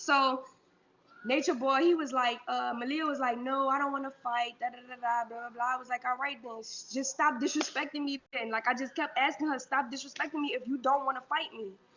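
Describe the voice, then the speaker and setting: A woman speaks in a high, animated voice at a fairly quick pace. There is noticeable background noise. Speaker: woman telling her life story. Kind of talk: personal testimony.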